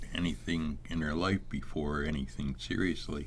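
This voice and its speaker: Very deep and low, a man's voice moves at a fairly slow pace with fairly even intonation. Room echo is audible. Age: 80s+. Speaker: author and poet. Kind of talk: interview.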